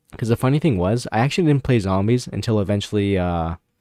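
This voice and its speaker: Speaking at a very fast pace, a man with a dark, mellow tone and fairly low pitch is heard in a dry, close sound with no echo on a very clean recording with a silent background. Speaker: gaming streamer. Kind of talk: casual live stream chat. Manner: stuttering.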